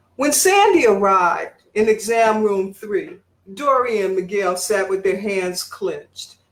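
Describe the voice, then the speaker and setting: A woman with an American accent talks at a fairly slow pace in a normal speaking voice, medium in pitch, with lively intonation. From Detroit, Michigan. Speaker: writer and English professor. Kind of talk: fiction reading.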